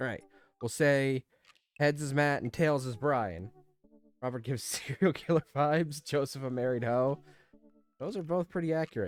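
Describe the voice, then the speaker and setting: Over music in the background, the speech moves at a moderate pace with long, frequent pauses. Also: man, fairly high pitch for a man, ordinary pitch variation, dry, close sound with no echo. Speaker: streamer playing a video game. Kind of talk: let's play commentary with reading aloud game text. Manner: casual, chatty.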